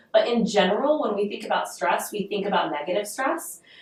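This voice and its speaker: A woman with medium pitch and ordinary pitch variation talks over noticeable background noise. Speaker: podcast host. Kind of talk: solo podcast talk. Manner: conversational, many filler ums.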